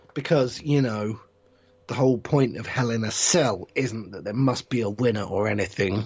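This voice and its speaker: A man talks at a moderate pace in a put-on character voice, raspy and medium in pitch. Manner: sarcastic, through gritted teeth.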